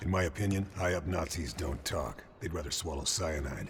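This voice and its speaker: Using a put-on character voice, a man sounds raspy and calm, with a very deep, low pitch and a moderate pace, over clear background noise. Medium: video game. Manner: calm, clipped.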